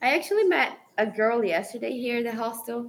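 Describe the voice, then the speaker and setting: A woman speaks with a Brazilian Portuguese accent. Her voice is fairly high and her pace fairly quick. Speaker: travel content creator and photographer. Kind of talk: casual interview.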